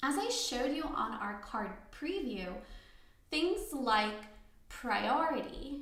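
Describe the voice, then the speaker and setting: Her pitch high and swinging very widely, a woman speaks at a very slow pace amid audible room echo. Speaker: software trainer. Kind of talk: tutorial. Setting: live online class. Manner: soft-spoken. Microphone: too quiet for some listeners.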